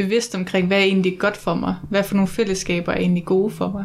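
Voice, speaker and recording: Her intonation is monotone and flat, and the woman's pitch sits at a medium level. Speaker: podcast host. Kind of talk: interview. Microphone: sound problems.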